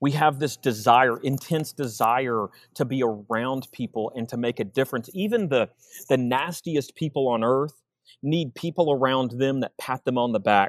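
The speaker has a Texan accent, talking at a moderate pace with ordinary pitch variation. The sound is dry and close, with no echo. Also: man, medium pitch for a man. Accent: Texan American English. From Texas, Austin. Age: 40s. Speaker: sales coach. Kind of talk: casual chat. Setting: video call.

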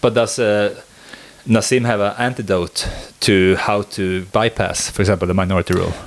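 The speaker has a Swedish accent and a moderate pace. Intonation stays fairly even. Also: man, fairly low pitch for a man. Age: 20s. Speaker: podcast host. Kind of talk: casual chat.

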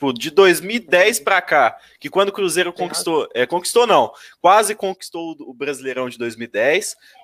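Loudness swings widely at a moderate pace, in a dry, close sound with no echo. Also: man, high pitch for a man, lively intonation. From inland Minas Gerais, Brazil. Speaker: football YouTuber. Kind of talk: casual chat.

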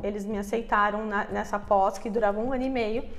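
A woman talks at a moderate pace with fairly even intonation. There is noticeable background noise. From Brazil, Curitiba. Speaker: digital marketing entrepreneur. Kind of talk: interview.

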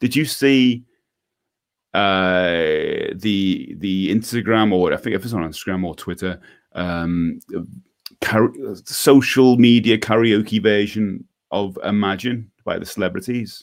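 In a very clean recording with a silent background, a man talks at a fairly slow pace, his fairly low pitch moving with ordinary variation. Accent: Scouse. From Liverpool, England. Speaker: podcast host for DIY musicians. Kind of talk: casual chat. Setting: live video stream.

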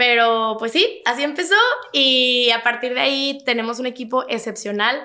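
Her voice is high-pitched with a bright, sharp tone. The woman keeps a moderate pace and ordinary pitch variation. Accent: Mexico City. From Mexico City. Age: 20s. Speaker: young entrepreneur. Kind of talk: interview.

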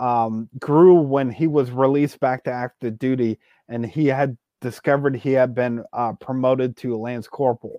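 A man with an ordinary speaking voice, moderate pace and fairly even intonation. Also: medium pitch for a man. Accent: American. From western Pennsylvania, Beaver County. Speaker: true crime podcast host. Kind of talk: storytelling narration with casual banter.

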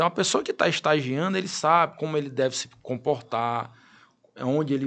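This is an ordinary speaking voice with ordinary pitch variation. It moves at a fairly quick pace. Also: man. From Piauí interior, Brazil. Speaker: lawyer and law professor. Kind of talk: interview.

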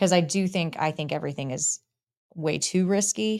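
A woman with an American accent speaks at a moderate pace, with vocal fry. Her pitch rises and falls in an ordinary way. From Texas, Dallas-Fort Worth. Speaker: lawyer. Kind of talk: interview conversation.

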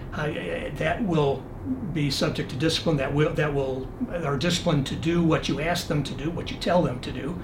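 In an American accent, a man with a fairly high pitch speaks at a moderate pace with fairly even intonation. There is audible room echo and noticeable background noise. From Michigan. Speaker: retired air force general and military lawyer. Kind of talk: interview conversation. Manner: calm.

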